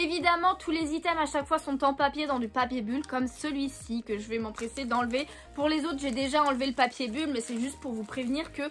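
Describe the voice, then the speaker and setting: Amid noticeable background noise, a woman with a high pitch talks at a fairly quick pace with ordinary pitch variation. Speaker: YouTuber, manga and Pokémon collector. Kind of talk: unboxing video, casual talk to viewers. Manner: hesitant, many fillers.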